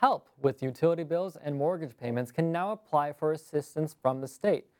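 Fairly quick pace with hardly any pauses. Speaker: news anchor. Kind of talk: newsreading. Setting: studio. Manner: formal, even, polished broadcast delivery.

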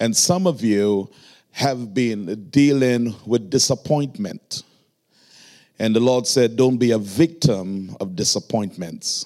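A man with a Trinidadian accent speaks very slowly in a dark, mellow tone with lively intonation. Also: medium pitch for a man. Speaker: pastor. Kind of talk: sermon. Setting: church.

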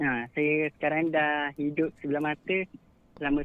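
This man's pitch is fairly high. He talks at a moderate pace. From Malaysia, Selangor. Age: 20s. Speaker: caller, office worker. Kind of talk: storytelling on phone. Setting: phone call. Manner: mature-sounding.

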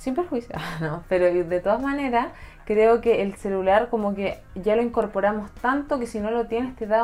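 A woman with a Chilean accent speaks fairly quickly in a fairly high voice with ordinary pitch variation. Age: 20s. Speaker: law graduate and youtuber. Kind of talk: casual chat.

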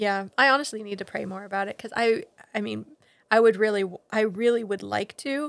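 A plain, everyday voice with an American accent moves at a fairly quick pace, showing ordinary pitch variation and big swings in loudness. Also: woman, fairly high pitch for a woman. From Ghana, then US Pacific Northwest. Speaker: missionary. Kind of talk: casual interview, faith testimony. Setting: home office.

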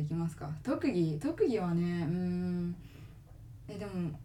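Against noticeable background noise and audible room echo, a woman with a fairly low pitch speaks with lively intonation. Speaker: podcast co-host. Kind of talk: casual chat. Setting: recording at home.

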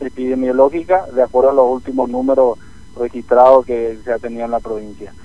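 A man talks at a fairly quick pace at medium pitch. He has an ordinary speaking voice. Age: 30s. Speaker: provincial politician. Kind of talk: radio interview.

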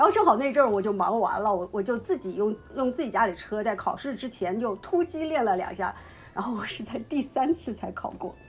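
A woman talks at a fairly quick pace and fairly high pitch, with lively intonation and noticeable background noise. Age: young. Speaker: podcast co-host. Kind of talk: casual chat.

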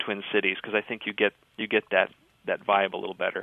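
A man in a northern Minnesota accent at a moderate pace. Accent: Minnesotan, northern Minnesota. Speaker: writer and radio producer. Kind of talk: interview.

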